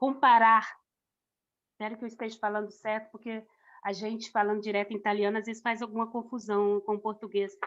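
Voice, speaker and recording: The woman's voice sits at a fairly high pitch. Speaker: missionary preacher. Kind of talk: sermon. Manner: halting.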